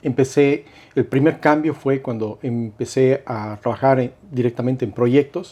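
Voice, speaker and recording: Speaking with a Cuenca Ecuadorian accent, a man has a dark, mellow tone at medium pitch. His pace is fairly slow, and his loudness swings widely. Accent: Cuenca Ecuadorian sing-song. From Ecuador, Cuenca. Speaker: investment and insurance broker. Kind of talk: casual interview. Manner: hesitant, many fillers.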